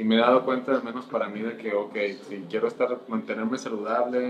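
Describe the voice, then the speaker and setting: The intonation stays monotone and flat. Noticeable background noise runs underneath. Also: man. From Colombia, then Mexico from age 15. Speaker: senior software engineer. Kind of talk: casual interview.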